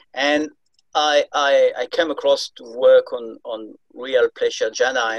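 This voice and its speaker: The sound is close and dry, without any echo. The speaker is a man. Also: big swings in loudness. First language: not English. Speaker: meditation student. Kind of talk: Q&A question. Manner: halting.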